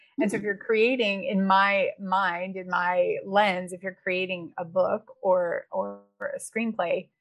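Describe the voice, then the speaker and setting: A woman's unremarkable speaking voice with an American accent, medium in pitch, at a fairly slow pace with fairly even intonation. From Wisconsin, small town. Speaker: developmental editor and writing coach. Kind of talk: interview.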